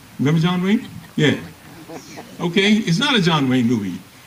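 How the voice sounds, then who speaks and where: Against noticeable background noise, a man with an American accent talks at a fairly quick pace, his pitch swinging very widely. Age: 80s+. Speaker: retired Air Force colonel, war veteran. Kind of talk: Memorial Day speech.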